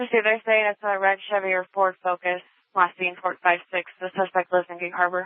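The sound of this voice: The pace is fairly quick and the pitch moves little, with a dry, close sound and no echo.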